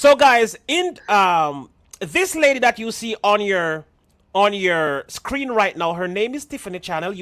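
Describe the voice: A woman at medium pitch and a fairly slow pace, with very wide pitch swings and big swings in loudness, in a very clean recording with a silent background. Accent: Jamaican.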